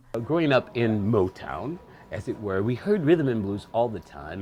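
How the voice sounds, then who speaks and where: A man's pitch swings very widely while he speaks fairly slowly. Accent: American. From Michigan, Detroit area. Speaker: bar promoter. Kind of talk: interview. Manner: articulate, proper diction.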